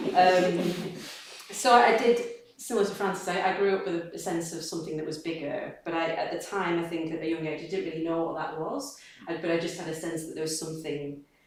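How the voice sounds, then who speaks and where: The speech moves at a fairly quick pace with ordinary pitch variation, heard through audible room echo and noticeable background noise. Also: woman, fairly low pitch for a woman. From northern England, Accrington, East Lancashire. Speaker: Buddhist practitioner speaker. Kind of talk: personal testimony talk. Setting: community gathering with small audience. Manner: halting.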